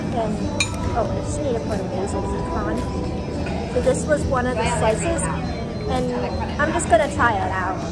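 A woman speaks at a moderate pace with long, frequent pauses. Loud music plays in the background. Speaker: food vlogger. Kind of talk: casual vlog chat. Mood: cheerful, relaxed. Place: cafe. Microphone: phone near.

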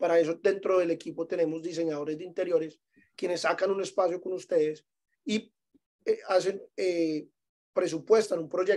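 Here a man talks in a high pitch with fairly even intonation at a moderate pace. The background stays quiet. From Medellín, Colombia. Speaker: vacation rental property manager; guest. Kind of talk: webinar presentation. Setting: Zoom webinar. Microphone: video call.

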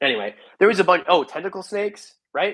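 A man talks at a very fast pace over a quiet background. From Canada. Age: 30s. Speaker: reptile breeder and YouTuber. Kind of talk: live stream chat. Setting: live stream from home. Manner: rambling, off-the-cuff. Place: home room. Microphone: earbuds.

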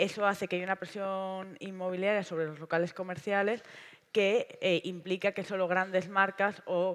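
The woman's speech unfolds at a moderate speed. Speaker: panelist. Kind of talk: panel talk. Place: stage. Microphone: headset.

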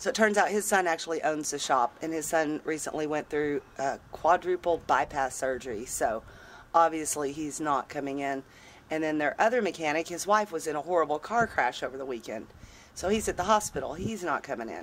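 A woman speaks at a fairly quick pace in a very deep, low voice. Her intonation is lively, with light background noise behind her. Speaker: van dweller vlogger. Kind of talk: casual vlog chat. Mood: wry, mildly exasperated. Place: street. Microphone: phone near.

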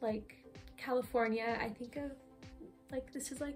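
Faint music plays behind a woman speaking at a high pitch. Her intonation is monotone and flat, and her pace is moderate. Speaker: artist vlogger. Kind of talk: casual vlog chat. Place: home room. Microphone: phone near.

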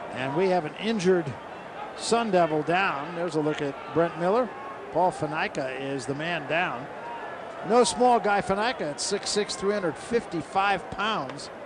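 Against noticeable background noise, a man with a high voice speaks at a fairly slow pace. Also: ordinary pitch variation. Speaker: play-by-play announcer. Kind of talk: live commentary.

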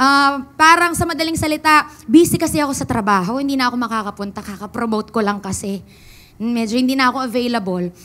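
A woman speaks in a raised, projected voice. Her pace is very fast. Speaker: preacher. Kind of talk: sermon. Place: church. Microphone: handheld.

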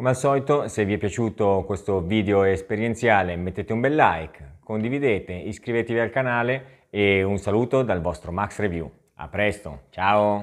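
Against a quiet background, a man speaks at a moderate pace with fairly low pitch and ordinary pitch variation. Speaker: tech product reviewer, video creator; tech reviewer. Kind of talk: product review vlog. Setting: outdoors, riding an e-bike. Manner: casual, chatty with many fillers. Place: home room. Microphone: lapel.

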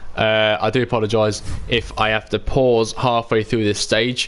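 In a British accent, the man is talking. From UK. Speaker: gaming live streamer. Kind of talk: live gameplay commentary. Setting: home live stream. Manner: animated. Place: home room.

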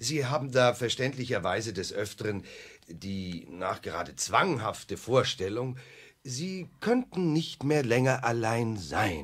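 A put-on character voice with big pitch swings, a fairly bright tone and a slightly husky edge, slow pace and few pauses, on a very clean recording with a silent background. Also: man, medium pitch for a man.

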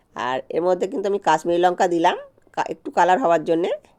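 A woman talks with a medium pitch and a dark, mellow tone. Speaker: cooking vlogger. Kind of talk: cooking tutorial.

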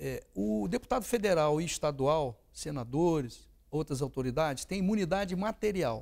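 Here a man speaks at a fairly high pitch. The background is quiet. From Nova Friburgo, Rio de Janeiro state, Brazil; Rio de Janeiro state, Brazil. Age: 60s. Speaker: politician and lawyer; politician, lawyer. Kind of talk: interview. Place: studio. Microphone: lapel.

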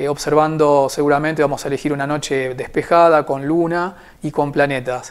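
The speaker moves at a fairly quick pace. The intonation is monotone and flat. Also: man, fairly high pitch for a man. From Argentina, Buenos Aires. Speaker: amateur astronomer. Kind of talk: informal talk to camera; interview answer. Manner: hesitant, frequent filler 'eh'. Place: home room. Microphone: lapel.

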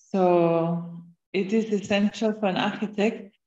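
A woman talks with fairly even intonation. There is audible room echo, but the background is quiet. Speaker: university lecturer. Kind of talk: moderating a lecture Q&A. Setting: video call. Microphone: video call.

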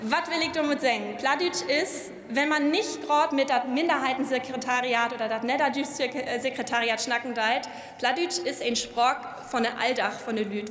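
The voice has ordinary pitch variation, with audible room echo around it. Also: woman. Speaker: politician, member of parliament. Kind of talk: parliamentary speech. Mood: warm, lightly humorous. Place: hall. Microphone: podium.

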